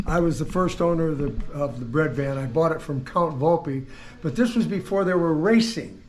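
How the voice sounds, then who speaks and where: A man's fairly high voice with lively intonation at a moderate pace, in a room with audible echo. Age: 80s+. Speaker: car collector and builder. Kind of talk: casual interview, storytelling.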